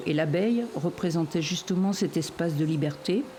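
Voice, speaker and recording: A woman talks in a fairly low pitch. Noticeable background noise sits behind her. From western France (Anjou), farm family. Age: 60s. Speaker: foster carer, former beekeeper. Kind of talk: personal testimony interview. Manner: hesitant with repetitions.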